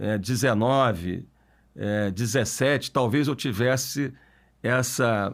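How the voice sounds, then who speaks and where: Very slow speech from a man of medium pitch in a very clean recording with a silent background. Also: ordinary pitch variation. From Brazil, Niterói (Rio de Janeiro state). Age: 40s. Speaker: mayor, politician. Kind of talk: podcast interview.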